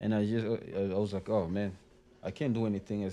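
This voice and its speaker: A man's fairly low, dark, mellow voice at a fairly quick pace, with monotone, flat intonation. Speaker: rapper, music duo member. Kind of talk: casual interview chat. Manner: halting, searching for words.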